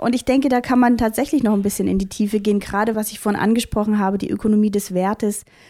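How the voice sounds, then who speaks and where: A dark, mellow tone delivers very fast speech with fairly even intonation in a very clean recording with a silent background. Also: woman. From Saxony, Vogtland (Germany). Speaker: academic researcher. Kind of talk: interview.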